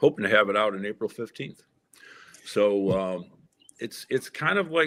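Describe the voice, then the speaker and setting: A man talks in a normal speaking voice at a fairly low pitch and a moderate pace. His intonation is lively, and the sound is dry and close with no echo. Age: 60s. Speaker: political candidate and author. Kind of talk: interview.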